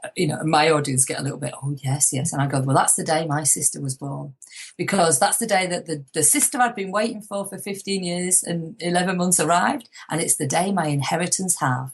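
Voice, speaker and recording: This woman has an ordinary speaking voice, a fairly low pitch, and a fairly quick pace with hardly any pauses. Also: lively intonation. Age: 50s. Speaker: motivational speaker and author. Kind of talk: interview.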